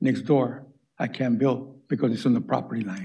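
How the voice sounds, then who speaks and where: A man's dark, mellow voice with vocal fry and ordinary pitch variation. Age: 80s+. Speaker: retired contractor, public commenter. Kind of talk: public comment at city meeting. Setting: city planning commission meeting. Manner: halting, many repetitions.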